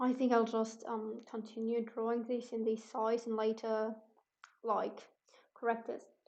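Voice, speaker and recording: A woman speaking at a fairly slow pace with a non-native accent. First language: not English. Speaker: artist streaming painting. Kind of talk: casual livestream commentary. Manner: halting, many fillers.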